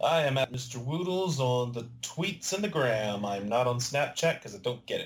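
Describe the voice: A man talks at a moderate pace and a medium pitch. His intonation is lively.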